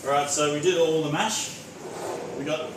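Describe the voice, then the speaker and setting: A man with an Australian accent and fairly high pitch talks amid audible room echo and noticeable background noise. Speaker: home cook streamer. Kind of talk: live cooking stream. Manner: loud.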